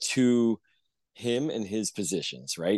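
A man with an American accent talks at a very slow pace, with a dry, close sound with no echo and a quiet background. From Pittsburgh, US. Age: 50s. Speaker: congressional candidate. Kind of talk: interview.

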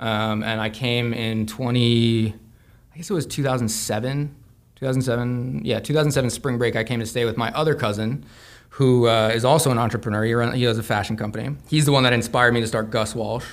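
Fairly even intonation and a fairly quick pace mark a plain, everyday voice. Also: man, medium pitch for a man. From US Southwest, Santa Fe, New Mexico. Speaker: apparel brand founder and graphic designer. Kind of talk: casual interview chat.

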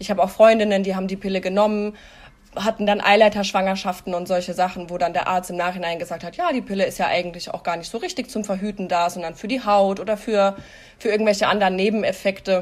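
A woman at a very fast pace with fairly even intonation. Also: medium pitch for a woman. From Hesse, Germany. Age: 30s. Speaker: podcast guest sharing personal experience. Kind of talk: casual interview, personal testimony.

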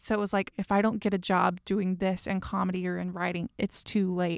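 In a Southern US accent, a woman talks at a fairly quick pace with fairly even intonation, in a dry, close sound with no echo on a very clean recording with a silent background. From US South. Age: 30s. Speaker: podcast host. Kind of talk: casual chat.

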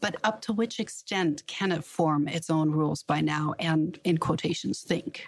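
With noticeable background noise behind her, a woman speaks fairly slowly at a fairly low pitch, with ordinary pitch variation, very even loudness and hardly any pauses. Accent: German. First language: German. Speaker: business journalist and podcast host. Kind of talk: interview.

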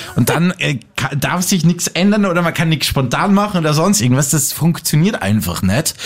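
A man talks at a fairly high pitch and moderate pace with lively intonation and hardly any pauses. Noticeable background noise is present. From Austria, Salzburg. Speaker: podcast host. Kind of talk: casual chat.

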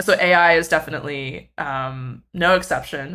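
A woman's very deep, low voice with fairly even intonation and a bright, sharp tone. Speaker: music tech writer and researcher. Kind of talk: interview conversation. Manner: filler-heavy, casual.

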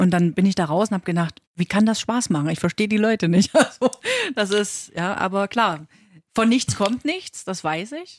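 With a normal speaking voice and lively intonation, the speaker sounds dry and close with no echo on a very clean recording with a silent background. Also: woman, medium pitch for a woman, moderate pace. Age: 30s. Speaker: working mother, podcast co-host. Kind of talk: casual chat.

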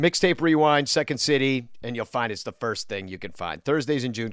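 On a very clean recording with a silent background and a dry, close sound with no echo, a man with an unremarkable speaking voice talks at a fairly quick pace, his fairly high pitch carried by lively intonation. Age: 40s. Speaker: podcast host. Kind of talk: casual chat.

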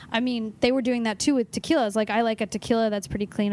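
A woman with a Californian accent, fairly high in pitch and very fast. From Los Angeles. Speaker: nutritionist. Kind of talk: casual chat.

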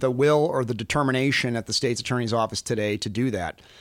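On a very clean recording with a silent background, a man at a medium pitch talks very fast with ordinary pitch variation. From Chicago. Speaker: political candidate. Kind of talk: interview. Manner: halting.

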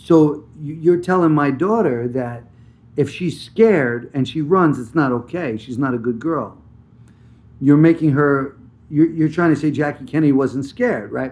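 A man with an unremarkable speaking voice, fairly high pitched, at a fairly slow pace with ordinary pitch variation. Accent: American. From New Jersey. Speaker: actor. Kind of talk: interview.

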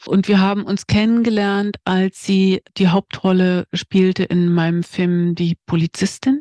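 Hardly pausing, a plain, everyday voice moves at a fairly slow pace with fairly even intonation and very even loudness, in a dry, close sound with no echo. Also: woman, medium pitch for a woman. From East Germany. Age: 50s. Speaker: screenwriter. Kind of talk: interview.

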